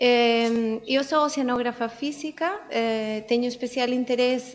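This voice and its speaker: Speaking with a non-native accent, a woman with a fairly high pitch talks at a fairly slow pace with fairly even intonation. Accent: foreign accent in Portuguese. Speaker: oceanographer. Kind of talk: conference talk.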